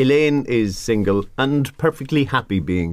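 The voice is a man's. He talks fairly slowly. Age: 40s. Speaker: radio host. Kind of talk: radio talk show banter.

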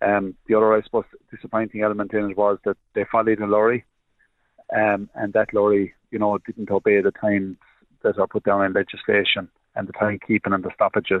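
A man with an Irish accent speaks at a fairly quick pace. His fairly low voice stays monotone and flat. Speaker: farmer representative. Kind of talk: radio interview. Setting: phone call.

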